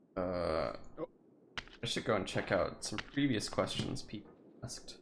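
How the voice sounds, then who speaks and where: There is audible room echo as a man with a fairly low pitch speaks at a fairly slow pace with ordinary pitch variation. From Turkey. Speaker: streamer. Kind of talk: casual chat.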